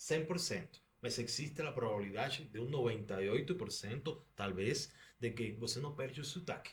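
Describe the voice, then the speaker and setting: A man with a Spanish accent, lively intonation, and a somewhat breathy sound at a moderate pace. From Cuba. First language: Spanish (speaking Portuguese). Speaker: doctor. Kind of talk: podcast interview.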